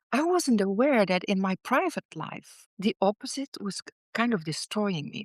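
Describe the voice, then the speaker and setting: Very clean, silent-background audio of a woman with a Dutch accent, medium pitch, lively intonation and a moderate pace, dry and close with no echo. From Netherlands. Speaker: author and former business executive. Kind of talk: interview testimony. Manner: halting, with fillers and repeats.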